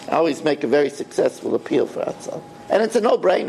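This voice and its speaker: With an American accent, a man talks at a very fast pace over noticeable background noise. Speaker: rabbi teaching Torah class. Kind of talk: Torah lecture.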